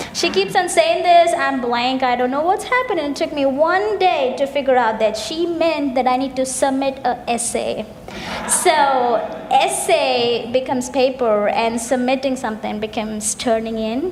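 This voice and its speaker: A woman's high-pitched voice in a Keralan accent, lively intonation at a moderate pace, with noticeable background noise and audible room echo. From India, Kerala. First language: Malayalam. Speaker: graduate student, festival co-presenter. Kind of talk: scripted stage dialogue.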